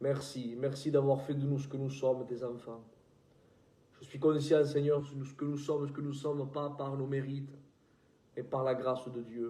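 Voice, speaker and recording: Amid audible room echo, a man with a southern French accent and fairly high pitch speaks at a fairly slow pace. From southern France. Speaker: preacher. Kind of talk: prayer; sermon.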